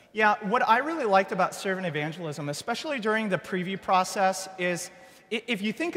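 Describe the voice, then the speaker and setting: Over noticeable background noise, a man with a high pitch talks very fast with lively intonation. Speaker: church planting pastor. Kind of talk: workshop presentation. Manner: animated.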